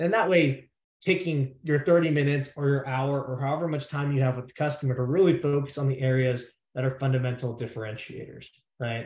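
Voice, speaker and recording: A man's somewhat breathy, fairly high voice at a fairly quick pace, with ordinary pitch variation. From New York. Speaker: sales expert and former debater. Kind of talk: presentation talk. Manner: fast.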